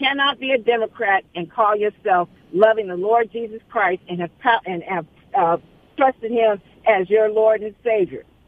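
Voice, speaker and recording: With a plain, everyday voice, a woman speaks at a moderate pace and fairly high pitch, with ordinary pitch variation and big swings in loudness. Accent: American. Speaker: caller. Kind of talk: casual chat. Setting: phone call.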